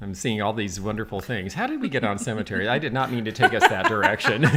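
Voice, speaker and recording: A man rattles off his words very fast while music plays behind him. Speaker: antique dealer. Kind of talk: casual chat. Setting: livestream. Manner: quieter than the host. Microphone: too far from the mic.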